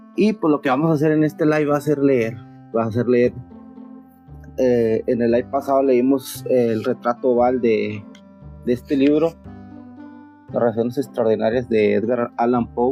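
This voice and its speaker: A man with long, frequent pauses, very even loudness and ordinary pitch variation, music in the background. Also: medium pitch for a man, moderate pace. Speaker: streamer reading horror stories. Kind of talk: casual talk to live audience.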